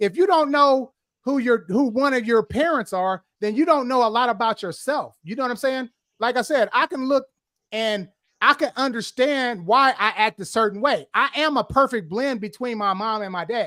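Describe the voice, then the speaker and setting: A man speaks at a moderate pace in a raised, projected voice with an extremely high pitch and ordinary pitch variation, recorded very cleanly against a silent background with a dry, close sound and no echo. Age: 50s. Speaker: podcast host. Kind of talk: casual chat.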